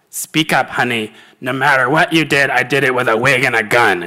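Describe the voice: In a put-on character voice, a man talks at a moderate pace and medium pitch with very even loudness, on a very clean recording with a silent background.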